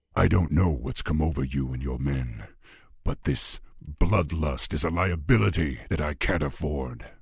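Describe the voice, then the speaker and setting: In a put-on character voice, a man growls at a very deep, low pitch. His pace is moderate. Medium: video game. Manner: commanding, measured.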